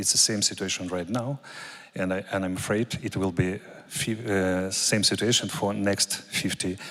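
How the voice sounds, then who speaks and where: Someone with a Russian accent speaks at a fairly slow pace with ordinary pitch variation. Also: man. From Ukraine. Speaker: military officer. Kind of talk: conference talk. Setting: conference with audience. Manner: halting.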